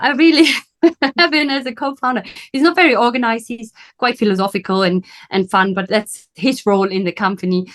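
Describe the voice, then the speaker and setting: This woman talks very fast with a German accent and a fairly high pitch. Her intonation is lively. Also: quiet background. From Germany. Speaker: business coach. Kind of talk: interview.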